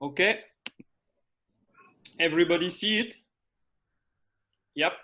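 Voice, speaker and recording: A high-pitched man's voice with a French accent, a bright, sharp tone, ordinary pitch variation and a moderate pace. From France. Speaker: sports scientist. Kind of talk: conference presentation. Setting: video call. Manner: halting.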